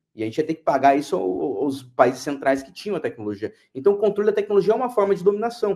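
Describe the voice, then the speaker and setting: The voice has a dark, mellow tone and races along at a very fast pace with hardly any pauses, very wide pitch swings and big swings in loudness. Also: man, high pitch for a man. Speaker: international affairs expert. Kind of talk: interview discussion.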